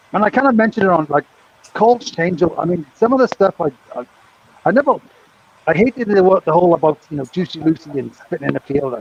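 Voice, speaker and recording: A man's high-pitched voice at a very fast pace, with very wide pitch swings, over noticeable background noise. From Britain. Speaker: former craps dealer, co-host. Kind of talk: casual chat. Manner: animated.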